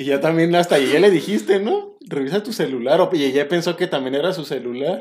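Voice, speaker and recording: Talking at a fairly quick pace with hardly any pauses, a man uses a high pitch and lively intonation. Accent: Mexican. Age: 30s. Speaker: orthopedic doctor and podcast host. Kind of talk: casual podcast chat.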